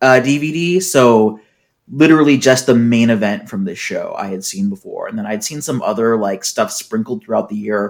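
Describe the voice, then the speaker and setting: Speaking at a moderate pace with lively intonation, a man uses a normal speaking voice, medium in pitch, with an American accent. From US Pacific Northwest, Seattle. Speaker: wrestling podcast co-host. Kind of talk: casual chat.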